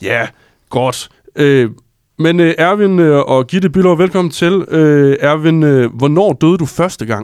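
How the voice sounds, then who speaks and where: A man talks with a strong Jutland accent. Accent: strong Jutlandic. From Jutland, Struer. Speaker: journalist and co-host. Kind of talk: casual interview. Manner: hesitant, many fillers.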